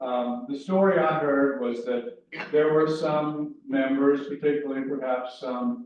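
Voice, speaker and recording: A man talks very slowly at a fairly high pitch. The room echo is audible. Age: 60s. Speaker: pastor. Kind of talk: class talk to congregation. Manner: conversational, with hesitations.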